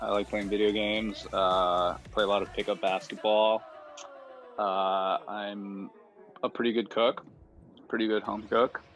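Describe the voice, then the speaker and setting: A man with an American accent at a fairly low pitch, fairly slow and with long, frequent pauses, his intonation fairly even over music in the background. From US Midwest (Michigan, Ann Arbor). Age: 30s. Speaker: electronic music producer and DJ. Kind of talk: casual interview. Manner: hesitant, many fillers.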